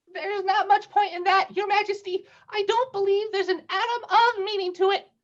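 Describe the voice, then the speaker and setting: This put-on character voice is squeaky, with an extremely high pitch and a nervous tone. It runs at a fairly quick pace. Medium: audio drama. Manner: nervous, deferential.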